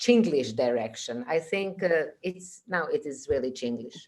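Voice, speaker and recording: This woman's voice has a dark, mellow tone. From Croatia. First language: Croatian. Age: 60s. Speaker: actress. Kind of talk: interview. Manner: halting.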